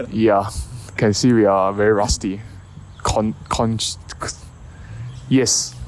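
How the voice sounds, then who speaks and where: A man speaks very slowly at a fairly low pitch with ordinary pitch variation, very even loudness and long, frequent pauses, amid noticeable background noise and audible room echo. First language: not English. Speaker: podcast co-host. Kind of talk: casual chat. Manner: halting.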